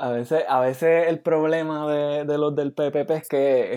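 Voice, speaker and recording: A man at a fairly high pitch, speaking very slowly. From Puerto Rico. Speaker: podcast co-host, university student. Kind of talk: casual chat.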